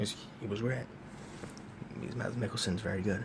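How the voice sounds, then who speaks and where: A man speaks quietly in a fairly low pitch with ordinary pitch variation. Room echo can be heard. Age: young. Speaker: movie reviewer. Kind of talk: casual monologue review. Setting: college dorm room. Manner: talking quietly.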